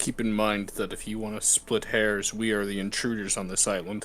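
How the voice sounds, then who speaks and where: Putting on a character voice, a man speaks at a moderate pace and a fairly low pitch. Clear background noise sits behind him. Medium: actual play. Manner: measured, deliberate.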